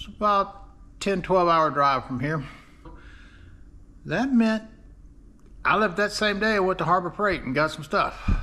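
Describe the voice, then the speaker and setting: Projecting his voice, a man speaks with a high pitch and a bright, sharp tone. His pace is fairly slow. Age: 60s. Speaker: DIY car restorer, video creator. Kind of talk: casual vlog. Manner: casual, filler-heavy.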